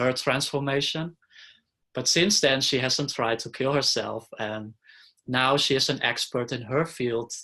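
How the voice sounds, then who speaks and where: Over a quiet background, a man at a medium pitch speaks in a bright, sharp tone with fairly even intonation. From Netherlands. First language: Dutch. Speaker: interviewee sharing life story. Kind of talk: interview.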